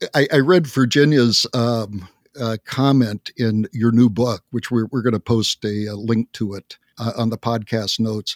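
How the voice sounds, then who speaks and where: Here a man speaks at a medium pitch and a fairly slow pace, in an ordinary speaking voice. The sound is dry and close, with no echo. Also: fairly even intonation. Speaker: podcast host. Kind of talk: interview.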